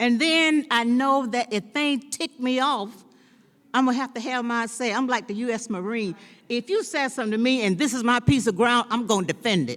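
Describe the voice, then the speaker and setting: In a high pitch, a woman talks fairly quickly with ordinary pitch variation. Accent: Southern. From US South, North Carolina. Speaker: former city council member. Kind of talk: speech at a celebration. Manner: drops word endings.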